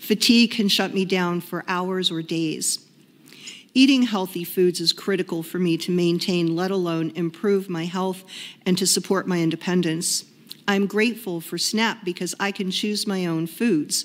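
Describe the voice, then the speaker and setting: A woman with a plain, everyday voice speaks at a moderate pace, her medium pitch following fairly even intonation. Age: 60s. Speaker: food bank advocate testifying at a hearing. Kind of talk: prepared testimony read aloud. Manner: formal.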